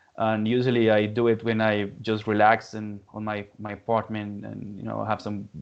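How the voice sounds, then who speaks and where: The speech comes at a moderate pace in a Spanish accent, with monotone, flat intonation. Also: man. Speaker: metal musician, lyricist. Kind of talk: interview. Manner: halting, many repetitions.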